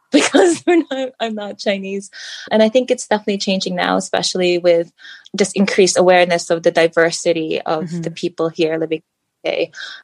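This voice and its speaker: In an unremarkable speaking voice, a woman speaks at a fairly quick pace and medium pitch with ordinary pitch variation, in a dry, close sound with no echo. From Philippines and US, moved around. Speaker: guest, mother and coach. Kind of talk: casual interview chat.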